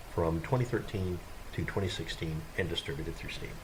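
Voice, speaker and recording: A man mumbles in a very deep, low pitch with ordinary pitch variation, at a fairly quick pace. Audible room echo and noticeable background noise surround him. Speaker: gaming video creator. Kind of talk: gameplay tutorial. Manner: mumbling; halting.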